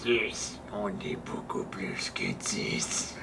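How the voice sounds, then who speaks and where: A man whispers in a put-on character voice at a very slow pace. Loud background noise is present. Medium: actual play. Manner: hostile, fanatical, shouting.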